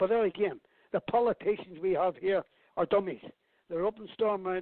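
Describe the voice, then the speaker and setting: This man has a Belfast accent. His voice sits at a high pitch. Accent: Belfast Northern Irish. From Northern Ireland, Belfast. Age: 70s. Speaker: campaigner for inquiry into father's murder. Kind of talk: radio interview.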